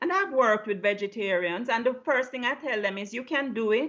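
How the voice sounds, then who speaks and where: Lively in intonation, a woman talks with a Jamaican accent. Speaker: low-carb health coach. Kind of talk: interview.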